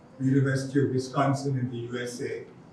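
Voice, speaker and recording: Noticeable background noise runs through the clip. Room echo is audible. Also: man. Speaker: educator and NGO founder. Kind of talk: conference talk. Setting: conference hall with audience. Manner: slow; halting.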